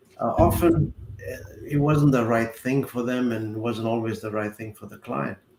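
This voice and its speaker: There is noticeable background noise behind a man's voice. He speaks at a medium pitch with ordinary pitch variation. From South Africa. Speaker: accountant and retirement adviser. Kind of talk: podcast interview.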